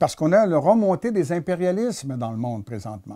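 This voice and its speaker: A man speaks with a dark, mellow tone at a fairly high pitch, against a quiet background. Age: 70s. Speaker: economist and author. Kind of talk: interview. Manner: halting, formal. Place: home room. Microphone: lapel.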